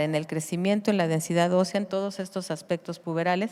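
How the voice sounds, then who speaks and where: Fairly low-pitched, a woman talks at a fairly quick pace with fairly even intonation. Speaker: pediatrician. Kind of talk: conference lecture.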